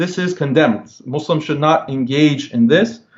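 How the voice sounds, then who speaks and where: A man with an American accent uses an unremarkable speaking voice, fairly high in pitch with ordinary pitch variation, at a moderate pace. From United States. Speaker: Islamic writer and commentator. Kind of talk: religious discussion.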